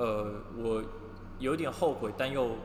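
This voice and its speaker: A man is speaking, with audible room echo around his voice. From Taiwan. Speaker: podcast co-host, fashion industry worker. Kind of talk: casual chat. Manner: light, cheerful.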